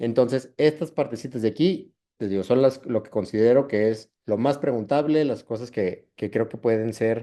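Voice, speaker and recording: A man talks with hardly any pauses and big swings in loudness. His medium-pitched voice is dark and mellow in tone, with ordinary pitch variation. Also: quiet background. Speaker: ophthalmology fellow presenting a class. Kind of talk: lecture. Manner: fast.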